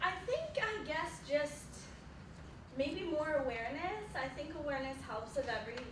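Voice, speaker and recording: With lively intonation and a high pitch, a woman speaks at a moderate pace amid noticeable background noise and audible room echo. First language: French. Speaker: psychology student. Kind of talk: Q&A after presentation.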